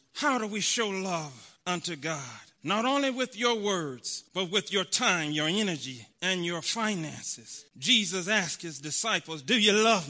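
Over a quiet background, a man with a high-pitched, bright, sharp tone projects his raised voice at a fairly slow pace, with lively intonation and hardly any pauses. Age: 40s. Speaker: preacher. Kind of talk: sermon.

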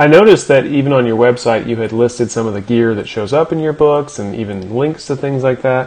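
A man at a medium pitch is heard over noticeable background noise. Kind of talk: casual interview chat.

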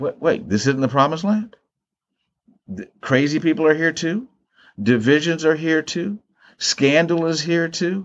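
A man with an American accent speaks at a fairly slow pace in a fairly high voice, his lively intonation broken by long, frequent pauses. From US, Maryland. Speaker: theologian and professor. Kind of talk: interview conversation. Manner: halting, frequent repetitions.

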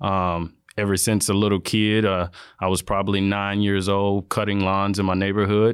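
A man with an American accent speaks at a moderate pace and a fairly low pitch, his intonation flat and monotone. His loudness stays very even in a very clean recording with a silent background. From Florida, small town. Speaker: water quality manager. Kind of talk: interview conversation.

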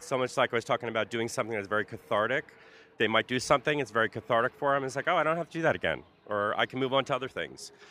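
The man talks at a very fast pace. His pitch is medium with ordinary variation. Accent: American. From New Jersey (Carteret, North Brunswick). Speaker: pagan group founder and clothing designer. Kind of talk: casual interview. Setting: outdoors in a park at a festival.

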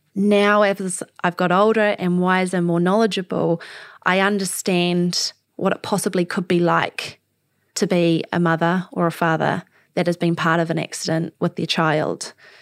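A woman with a New Zealand accent speaks at a moderate pace in a fairly low, monotone, flat voice of very even loudness, on a very clean recording with a silent background and a dry, close sound with no echo. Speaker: podcast host, para swimmer. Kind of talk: interview conversation.

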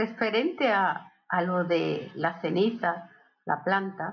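A woman at medium pitch. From Barcelona, Catalonia (born in Seville). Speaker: host's aunt and godmother. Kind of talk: casual family interview. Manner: halting, many repetitions.

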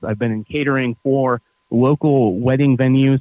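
A man with an American accent and an ordinary speaking voice talks at a medium pitch and moderate pace, with ordinary pitch variation. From upstate New York. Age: 30s. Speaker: hospitality entrepreneur and tour guide. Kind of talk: casual interview.

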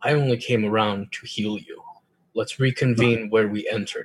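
A man puts on a character voice at medium pitch, speaking at a moderate pace. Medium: actual play. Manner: curt, clipped.

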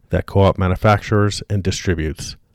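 A man with an unremarkable speaking voice talks at a fairly quick pace and fairly low pitch. His intonation is fairly even, and the sound is dry and close with no echo. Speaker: podcast co-host. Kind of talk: casual intro chat. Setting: remote call with co-host.

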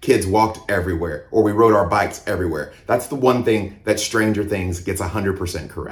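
Talking at a moderate pace with hardly any pauses, a man with an American accent has a somewhat breathy, fairly low voice and fairly even intonation. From US South (Mississippi and Georgia). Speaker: pastor. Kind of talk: sermon.

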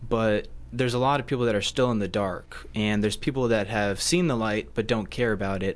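Here is a man with an ordinary speaking voice. His pitch is medium and his intonation fairly even. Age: young. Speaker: college student. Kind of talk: radio interview.

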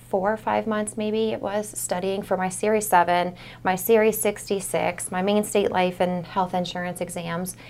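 A woman at a medium pitch and moderate pace, with monotone, flat intonation. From Maine, US (Portland area). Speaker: financial advisor. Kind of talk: casual interview.

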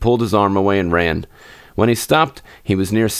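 The reading is done aloud in a natural voice, and the pitch moves in an ordinary way.

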